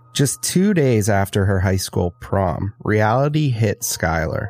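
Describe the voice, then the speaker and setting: A man with a normal speaking voice, fairly low in pitch, at a fairly slow pace. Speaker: podcast co-host. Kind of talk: true-crime narration. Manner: measured, storytelling delivery, steady and earnest.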